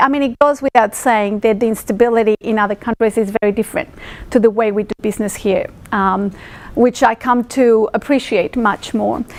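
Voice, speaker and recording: Fairly high in pitch with fairly even intonation, a woman with a Spanish accent speaks at a fairly quick pace. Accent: Spanish-speaking. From Mexico City. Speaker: speaker at industry roadshow, finance professional. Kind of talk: presentation to audience. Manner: many fillers, hesitant.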